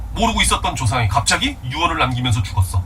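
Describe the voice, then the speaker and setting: Noticeable background noise and audible room echo both surround the man's speech. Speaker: Korean literature teacher. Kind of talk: lecture. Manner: fast; animated.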